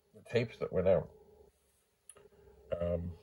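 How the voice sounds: Slow and fairly even in intonation, a man speaks at a low pitch with a dark, mellow tone and a slightly husky edge.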